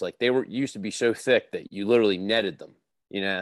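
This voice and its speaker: In a very clean recording with a silent background and a dry, close sound with no echo, a man with an unremarkable speaking voice talks in a fairly low pitch with fairly even intonation. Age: 30s. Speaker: angler. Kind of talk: casual chat.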